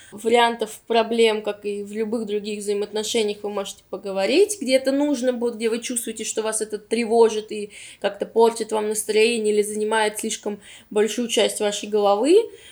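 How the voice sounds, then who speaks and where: Her pitch is fairly high for a woman. She keeps a moderate pace, her intonation monotone and flat. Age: 20s. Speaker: podcast co-host. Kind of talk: casual chat.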